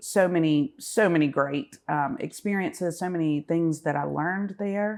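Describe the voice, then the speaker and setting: Against a quiet background, a woman with a Southern US accent speaks at a fairly low pitch. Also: lively intonation, moderate pace. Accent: Southern American. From US South, Augusta, Georgia. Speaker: business association director. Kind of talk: podcast interview. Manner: hesitant, many fillers and repeats.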